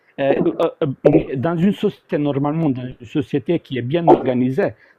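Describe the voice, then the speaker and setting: Man talking at a moderate pace, fairly high in pitch, with ordinary pitch variation. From former Yugoslavia. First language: South Slavic language (speaking French). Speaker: debate participant. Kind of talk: live debate. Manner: halting, many repetitions. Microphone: audio cutting out, bumping mic.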